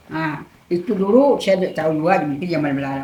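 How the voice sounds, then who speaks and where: Amid noticeable background noise and audible room echo, a woman speaks at a very fast pace. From Indonesia, West Kalimantan, Kapuas Hulu. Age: 70s. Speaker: village elder, former customary leader. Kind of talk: casual interview about local lore.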